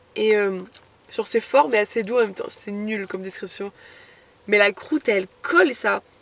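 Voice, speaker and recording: At a moderate pace, the voice carries ordinary pitch variation. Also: woman, long, frequent pauses. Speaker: van-life vlogger. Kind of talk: travel vlog. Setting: outdoors on a hike. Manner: casual, hesitant with many fillers.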